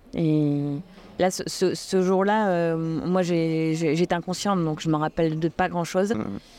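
A woman with a dark, mellow tone and a fairly low pitch speaks at a very slow pace. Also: fairly even intonation. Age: 40s. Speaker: ultra-trail runner. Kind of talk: interview conversation. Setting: trade fair stand. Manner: hesitant, many fillers.

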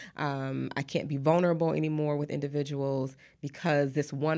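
In an American accent, a woman speaks at a very deep, low pitch with fairly even intonation. Her pace is fairly quick, on a very clean recording with a silent background. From Detroit, Michigan, US Midwest. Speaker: therapist and author. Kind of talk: interview.

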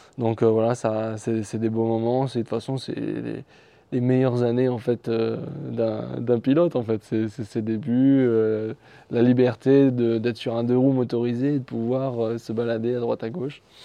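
A man at a fairly slow pace with monotone, flat intonation. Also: medium pitch for a man. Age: 20s. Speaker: motorcycle racer. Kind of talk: interview. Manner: halting, many repetitions and fillers.

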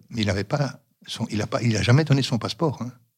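A man speaks at a moderate pace and medium pitch, sounding somewhat breathy. His pitch variation is ordinary. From Yugoslavia (Roma), raised in Belgium from age 5. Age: 60s. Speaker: retiree. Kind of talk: interview testimony.

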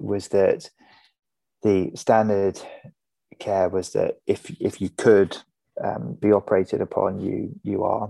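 The speaker is a man with an English accent. He talks at a moderate pace. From England. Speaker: bereaved son. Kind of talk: casual chat. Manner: halting.

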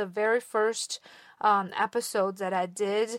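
Recorded very cleanly with a silent background and a dry, close sound with no echo, a woman with a Chinese accent speaks at a fairly high pitch, fairly slowly, with fairly even intonation. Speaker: podcast host. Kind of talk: solo podcast monologue. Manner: somewhat halting, with fillers.

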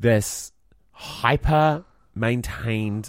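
On a very clean recording with a silent background, a man with a New Zealand accent speaks with lively intonation. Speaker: podcast co-host and musical theatre performer. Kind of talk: casual chat.

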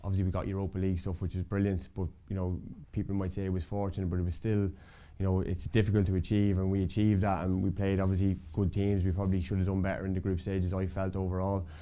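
A man with an Irish accent speaks very fast in a very deep, low voice, his intonation flat and monotone and his tone dark and mellow. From Ireland, County Meath. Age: 40s. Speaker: retired footballer. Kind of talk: casual interview.

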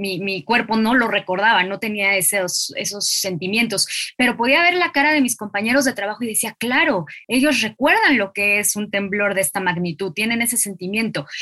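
In a Mexican accent, a woman speaks at a moderate pace with a fairly high pitch. Her intonation is lively, and noticeable background noise is present. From Mexico, Mexico City. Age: 30s. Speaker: literary podcast host. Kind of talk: interview conversation.

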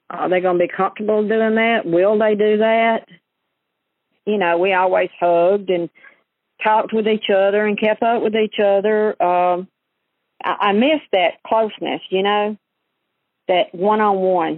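A woman with an Alabama accent speaks at a medium pitch and a fairly slow pace, her intonation fairly even, her loudness very even, with long, frequent pauses. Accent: Southern US (Alabama). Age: 60s. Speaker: churchgoer and caregiver. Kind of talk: personal testimony.

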